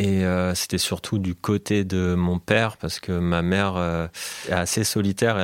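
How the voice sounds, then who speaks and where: A man with a very deep, low pitch speaks in a monotone, flat intonation, the sound dry and close with no echo on a very clean recording with a silent background. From France, Alsace (Colmar). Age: 30s. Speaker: DJ and producer. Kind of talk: interview conversation.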